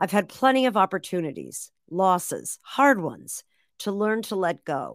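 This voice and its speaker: On a very clean recording with a silent background, a woman with an ordinary speaking voice and a medium pitch talks fairly slowly with lively intonation. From Massachusetts, near Boston. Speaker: author and former radio host. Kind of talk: interview.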